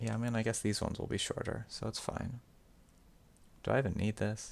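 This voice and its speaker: In an American accent, a man talks at a fairly quick pace with monotone, flat intonation, vocal fry and a medium pitch. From United States. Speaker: streamer. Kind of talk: casual live-stream chat while drawing. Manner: self-described as slurring words.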